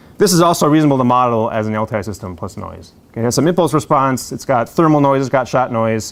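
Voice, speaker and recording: This man talks at a very fast pace with hardly any pauses, his medium-pitched voice carrying lively intonation. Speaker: university lecturer. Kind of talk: lecture. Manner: casual, filler-heavy.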